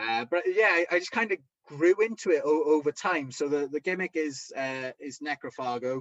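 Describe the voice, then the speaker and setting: A man in a strong Welsh accent, fairly high-pitched and lively in intonation, with a dry, close sound and no echo. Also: moderate pace. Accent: thick Welsh. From Wales. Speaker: professional wrestler and promoter. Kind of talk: interview. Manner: halting, many repetitions.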